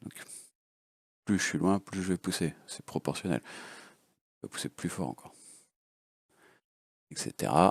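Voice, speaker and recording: In a dry, close recording with no echo, a man speaks at a very deep, low pitch with vocal fry. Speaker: FPV drone hobbyist. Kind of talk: casual unscripted tutorial.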